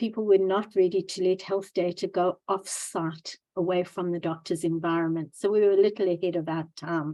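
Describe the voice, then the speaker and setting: Over a quiet background, a woman with a South African accent talks at a moderate pace with hardly any pauses, her medium-pitched voice dark and mellow in tone and her intonation monotone and flat. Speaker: angel investor and entrepreneur. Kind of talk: interview. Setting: Zoom video call.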